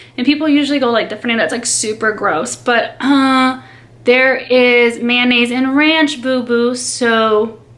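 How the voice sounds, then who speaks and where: A woman speaks at a high pitch and a fairly slow pace, keeping her intonation fairly even. Audible room echo surrounds her voice. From Brazil (São Paulo), raised in US from age five. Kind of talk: casual chat. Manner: casual, filler-heavy.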